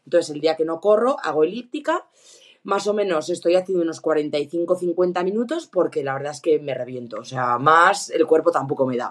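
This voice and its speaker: A woman with a plain, everyday voice speaks at a moderate pace and fairly low pitch, with lively intonation and big swings in loudness. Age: 30s. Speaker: ski instructor and runner sending a listener question. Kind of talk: recorded voice question.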